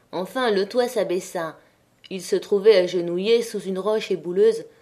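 Ordinary pitch variation in plain reading aloud

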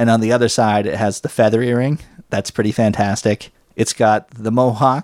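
A man with an ordinary speaking voice, medium pitch, moderate pace and fairly even intonation. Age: 40s. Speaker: podcast host. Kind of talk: casual banter, comedic chat.

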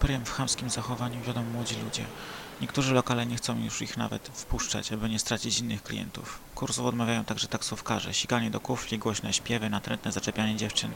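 Over noticeable background noise, a man speaks at a very fast pace and a medium pitch in a monotone, flat intonation. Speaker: podcast host. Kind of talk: casual monologue; reading aloud.

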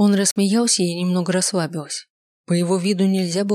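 Over a quiet background, the speaker does a plain reading aloud.

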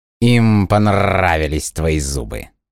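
A man's put-on character voice, slow and low, with vocal fry and big pitch swings

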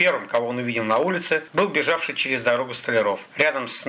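Plain reading aloud comes with lively intonation.

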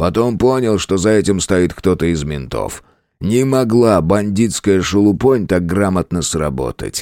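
This is plain reading aloud, set against a quiet background.

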